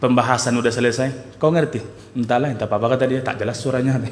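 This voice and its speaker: Audible room echo surrounds a man speaking at a medium pitch. Noticeable background noise sits behind him. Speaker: Islamic preacher. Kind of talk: religious lecture. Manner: slow, deliberate; soft.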